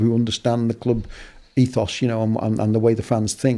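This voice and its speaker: A man with a Liverpool accent speaks at a very fast pace, his tone dark and mellow and his pitch medium. The recording is very clean with a silent background. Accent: Scouse (Liverpool). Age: 60s. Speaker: football broadcaster and journalist. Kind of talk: casual interview chat. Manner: hesitant, many fillers and repetitions.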